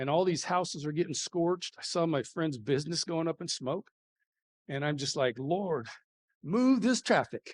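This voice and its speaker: A man with a high-pitched voice, speaking at a moderate pace in an animated tone. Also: dry, close sound with no echo. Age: 60s. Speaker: high school football coach. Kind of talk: motivational talk.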